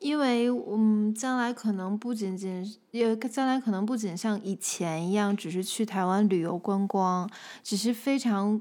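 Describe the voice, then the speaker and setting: Recorded very cleanly against a silent background, a woman speaks at a fairly slow pace, her fairly high voice dark and mellow in tone, with ordinary pitch variation. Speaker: host's wife. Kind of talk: casual chat.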